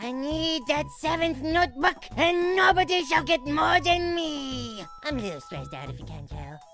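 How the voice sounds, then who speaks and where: A put-on character voice speaks at a moderate pace. Music plays clearly in the background. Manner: polite but edgy.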